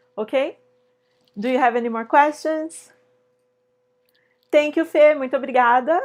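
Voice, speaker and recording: In a Brazilian accent, a woman with a high pitch speaks at a moderate pace with ordinary pitch variation and long, frequent pauses. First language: Portuguese. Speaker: sewing teacher. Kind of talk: live online tutorial. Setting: live stream. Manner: casual, hesitant with fillers.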